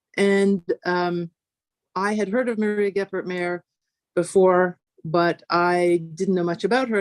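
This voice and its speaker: Fairly even intonation comes through a dry, close sound with no echo over a quiet background. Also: woman. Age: 60s. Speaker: physics professor. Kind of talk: conference talk. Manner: hesitant, many fillers.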